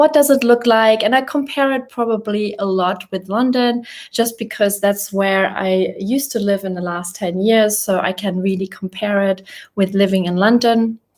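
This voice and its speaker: A woman with a German accent speaks at a moderate pace. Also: medium pitch for a woman, ordinary pitch variation. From Germany. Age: 30s. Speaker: YouTuber. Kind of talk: casual live chat. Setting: livestream from a rented apartment.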